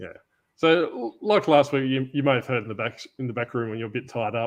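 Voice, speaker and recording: A man with an Australian accent, fairly quick pace and ordinary pitch variation. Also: medium pitch for a man. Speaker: podcast host. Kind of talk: casual chat. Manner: casual, improvised.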